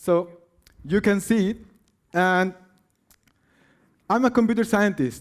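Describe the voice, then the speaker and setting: A man with a Spanish accent speaks at a high pitch and a fairly slow pace. His speech has long, frequent pauses. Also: ordinary pitch variation. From Peru. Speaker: science slam presenter, computer science researcher. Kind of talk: science slam talk. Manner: halting.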